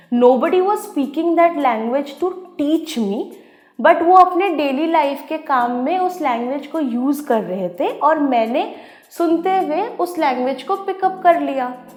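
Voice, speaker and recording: A woman with an Odia accent, high-pitched and with lively intonation. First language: Odia (speaking Hindi). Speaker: educator. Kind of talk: educational talk.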